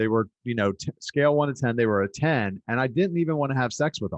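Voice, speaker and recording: In an unremarkable speaking voice, a man talks at a fairly quick pace and medium pitch with lively intonation, the sound dry and close with no echo over a quiet background. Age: 40s. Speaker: podcast host. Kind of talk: interview.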